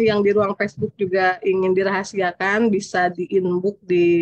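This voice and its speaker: A woman's medium-pitched voice at a moderate pace, dry and close with no echo. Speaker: event moderator. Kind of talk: moderating online study session.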